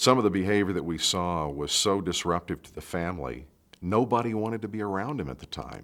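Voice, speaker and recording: A normal speaking voice from a man, fairly low in pitch, at a fairly quick pace, with lively intonation and big swings in loudness, on a very clean recording with a silent background. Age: 50s. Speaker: narrator and stepfather. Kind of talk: documentary interview.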